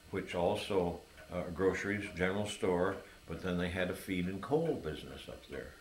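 A man speaks at a moderate pace in a relaxed tone, his pitch very deep and low. Room echo is audible, with light background noise. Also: ordinary pitch variation. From Hector, New York, USA. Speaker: oral history interviewee, lifelong local resident. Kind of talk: oral history interview answer. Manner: relaxed, reminiscing. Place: home room. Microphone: camera far.

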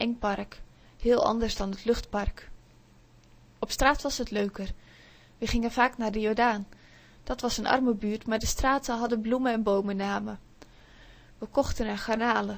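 A woman's gentle, fairly high voice, monotone and flat, at a moderate pace with long, frequent pauses. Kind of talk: audiobook reading aloud of a children's story, told in first person by a child narrator. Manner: gentle, dreamy, storytelling pace with small voices for the imaginary friend.

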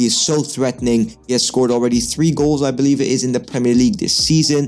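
A man's voice over faint music in the background. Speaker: football commentator on a channel. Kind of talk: commentary. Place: home room. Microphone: studio mic.

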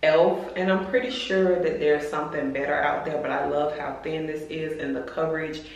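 A woman speaks with a very deep, low pitch and ordinary pitch variation. She moves at a fairly quick pace with hardly any pauses, and there is audible room echo. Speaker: lifestyle vlogger. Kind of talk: casual vlog chat. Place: bathroom. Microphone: phone near.

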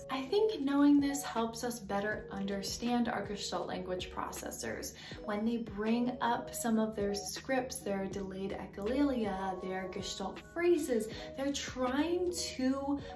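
Noticeable background noise accompanies a woman who speaks fairly slowly. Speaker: educator on language development. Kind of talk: educational explainer. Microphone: earbuds.

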